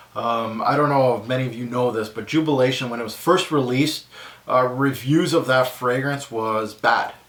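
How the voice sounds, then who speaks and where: The voice comes in a Quebec accent. Audible room echo and noticeable background noise fill the recording. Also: man. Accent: French Canadian accent in English. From French Canada, small town bordering Quebec. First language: French. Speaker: fragrance reviewer YouTuber. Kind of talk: casual Q&A vlog. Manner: hesitant, many fillers.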